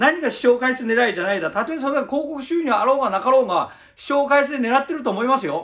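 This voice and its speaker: A man speaks at a very fast pace with hardly any pauses, his pitch extremely high with ordinary variation and big swings in loudness. The background is quiet. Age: 50s. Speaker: YouTuber, former gang founder; channel host answering another creator. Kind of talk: answer video monologue. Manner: hesitant, many fillers. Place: home room. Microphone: phone near.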